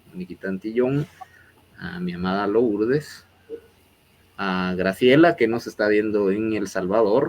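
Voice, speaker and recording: Over noticeable background noise, a man with a fairly low pitch talks in lively intonation, with big swings in loudness and long, frequent pauses. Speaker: interview show host. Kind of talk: interview closing remarks. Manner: hesitant, many fillers.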